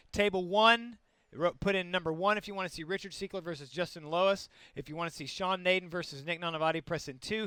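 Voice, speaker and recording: Loud and very fast, a man speaks in a high voice with fairly even intonation. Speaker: tabletop game stream commentator. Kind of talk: live commentary. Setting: live stream from a game store.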